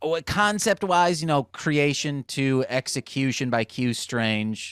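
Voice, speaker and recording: The pace is very slow, with lively intonation and very even loudness. The recording is very clean with a silent background and a dry, close sound with no echo. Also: man, fairly high pitch for a man. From Michigan, US (Muskegon). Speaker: rapper and music producer. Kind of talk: casual podcast chat.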